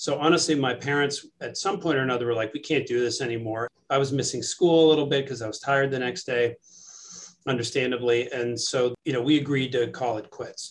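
A man with an American accent uses an unremarkable speaking voice, medium in pitch, fairly even in intonation and fairly quick in pace. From New York City. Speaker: surgeon and professor. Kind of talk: interview.

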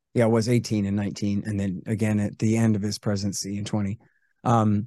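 Against a quiet background, a man with an American accent speaks at a very fast pace in a dark, mellow tone. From United States. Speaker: antiwar author and radio host. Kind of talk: casual interview.

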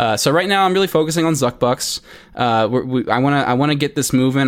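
In a very clean recording with a silent background, a man talks at a fairly quick pace in an unremarkable speaking voice with ordinary pitch variation. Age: 20s. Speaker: crypto coin creator and software engineer. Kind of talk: podcast interview.

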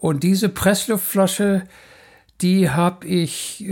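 This is a man speaking. His pace is very slow. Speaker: marine biologist. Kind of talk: interview.

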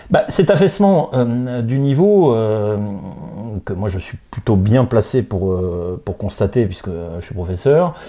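Very slowly, a man of medium pitch speaks with very wide pitch swings. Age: 40s. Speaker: political commentator. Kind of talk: interview.

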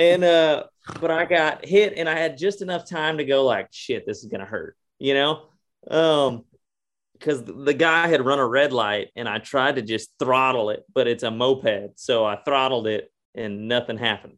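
A man with a Texan accent, fairly high in pitch, at a moderate pace with lively intonation. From Texas. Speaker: country singer. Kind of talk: casual chat.

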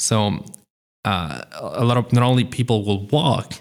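A man's medium-pitched voice with vocal fry. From Italy, Veneto. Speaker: lawyer. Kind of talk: casual chat.

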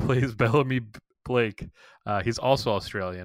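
On a very clean recording with a silent background, a man talks at a moderate pace. His pitch varies in an ordinary way. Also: dry, close sound with no echo. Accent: Boston. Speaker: podcast co-host. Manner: casual, chatty.

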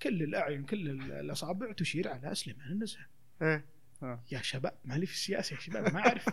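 In an ordinary speaking voice, the delivery runs fairly quickly and the intonation stays lively. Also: man, fairly high pitch for a man. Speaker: theatre actor and children's theatre promoter. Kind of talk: casual chat.

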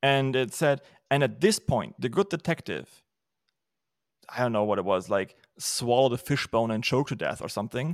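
A man with a German accent speaks with lively intonation. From Germany. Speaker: podcast host and writer. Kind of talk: casual chat. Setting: video call.

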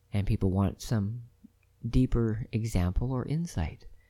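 A man's fairly low voice, dark and mellow in tone, with lively intonation. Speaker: podcast host, spiritual speaker. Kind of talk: solo monologue talk. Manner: fast, rambling.

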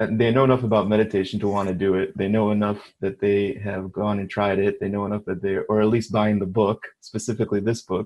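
Monotone and flat in intonation, a man talks in a fairly low voice. His pace is fairly quick. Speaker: meditation meetup participant. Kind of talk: casual group discussion.

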